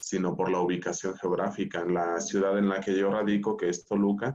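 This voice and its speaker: His voice sits fairly low, and he keeps to an even, middling tempo. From Mexico, Michoacán. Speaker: school director. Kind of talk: panel discussion.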